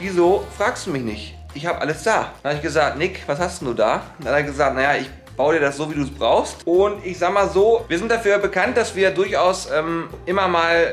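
A man with a high voice talks at a moderate pace with hardly any pauses and ordinary pitch variation, faint music playing behind him. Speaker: vlogger. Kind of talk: casual vlog chat. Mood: joking, playful. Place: office. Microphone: phone near.

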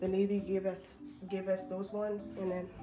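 A woman talks at a medium pitch with music in the background. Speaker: navy sailor. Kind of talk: casual talk to camera.

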